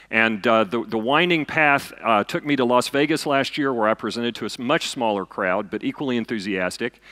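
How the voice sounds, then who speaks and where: A man speaks loudly with a Southern US accent at a medium pitch, his tone bright and sharp, with ordinary pitch variation and hardly any pauses, on a very clean recording with a silent background. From US South, eastern Kentucky. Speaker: physicist and science fiction author. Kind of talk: lecture. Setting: stage with audience.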